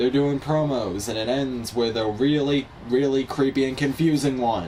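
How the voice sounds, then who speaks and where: A man talks in a fairly high pitch, and noticeable background noise is present throughout. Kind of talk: casual wrestling recap talk.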